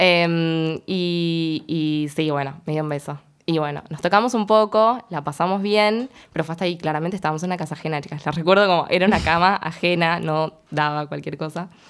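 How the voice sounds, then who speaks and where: A woman's plain, everyday voice, fairly low in pitch with ordinary pitch variation, at a fairly quick pace, in a very clean recording with a silent background. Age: 20s. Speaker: education student. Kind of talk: casual chat.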